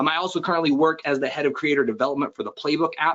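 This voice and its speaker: Words come out of a man at a very fast pace. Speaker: fitness business coach. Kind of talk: webinar presentation. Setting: online webinar. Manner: animated.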